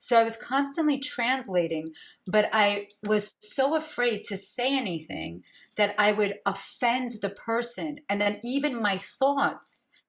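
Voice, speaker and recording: A woman speaks with a New York accent at a fairly slow pace. Her voice is fairly high, and her intonation is lively. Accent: New York American. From US, Brooklyn New York. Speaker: podcast host, intuitive coach. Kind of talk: interview conversation.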